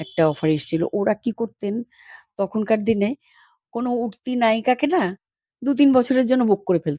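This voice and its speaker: Her pitch fairly high and her tone dark and mellow, a woman speaks with lively intonation in a dry, close sound with no echo. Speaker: former film actress. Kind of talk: interview, reminiscing.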